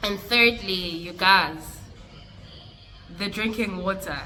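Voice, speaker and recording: A woman at a moderate pace with ordinary pitch variation, amid noticeable background noise and audible room echo. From South Africa. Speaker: vlogger. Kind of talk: casual vlog talk.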